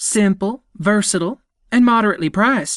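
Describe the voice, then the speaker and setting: In a put-on character voice, a man sounds enthusiastic. His pitch is high and his pace fairly quick. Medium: read story. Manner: brisk, enthusiastic.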